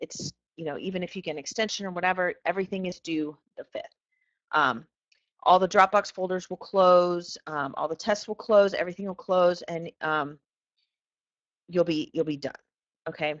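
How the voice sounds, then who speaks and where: Fairly low in pitch, a woman talks at a moderate pace with fairly even intonation and long, frequent pauses. Her loudness swings widely, in a dry, close sound with no echo. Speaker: physics teacher. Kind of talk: lecture.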